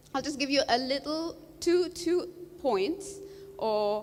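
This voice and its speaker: Very wide pitch swings run through this woman's speech. She is loud. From Bahrain. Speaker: coral reef scientist. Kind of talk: panel talk.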